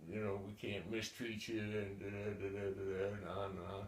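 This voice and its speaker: A man talks at a moderate pace and a fairly low pitch, somewhat breathy and in a flat monotone. The room echo is audible. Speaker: war veteran. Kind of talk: oral history interview. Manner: halting, many repetitions and fillers.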